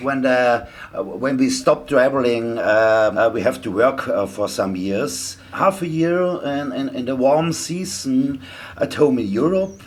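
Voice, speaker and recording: Over noticeable background noise, someone with a German accent talks fairly slowly, the intonation lively. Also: man, medium pitch for a man. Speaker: traveller. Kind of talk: casual chat. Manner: halting.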